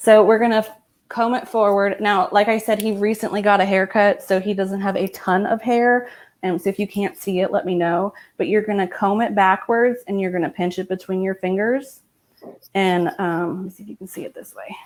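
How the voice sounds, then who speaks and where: On a very clean recording with a silent background, a woman with a normal speaking voice talks at a fairly quick pace with big swings in loudness. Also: medium pitch for a woman, fairly even intonation. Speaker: hairstylist. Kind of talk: live tutorial over video.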